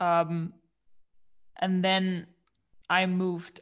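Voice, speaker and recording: A woman speaks with a German accent in a fairly low voice with fairly even intonation. The recording is very clean, with a silent background. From Germany, Aachen. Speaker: coliving company co-founder. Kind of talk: casual interview.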